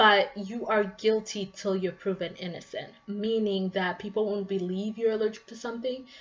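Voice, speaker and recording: A woman's plain, everyday voice, medium in pitch, with fairly even intonation at a moderate pace. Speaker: vlogger. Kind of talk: casual vlog monologue.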